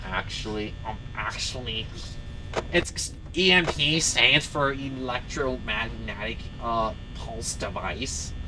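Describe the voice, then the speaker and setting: Loud background noise runs under a put-on character voice speaking at a fairly slow pace. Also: man. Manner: funny, nerdy, pedantic.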